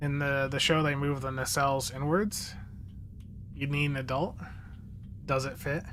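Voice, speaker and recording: Long, frequent pauses break up a man's speech, which has a moderate pace. His voice is fairly high in pitch with fairly even intonation, and there is audible room echo. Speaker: gaming streamer. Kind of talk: live stream commentary. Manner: slurred words.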